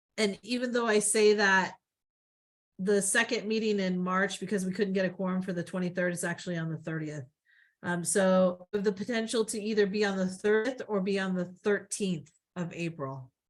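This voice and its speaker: A woman's medium-pitched voice at a moderate pace, fairly even in intonation, with music in the background. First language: not English. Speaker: city planning staff member. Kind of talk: public meeting explanation. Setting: virtual meeting. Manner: hesitant, many fillers.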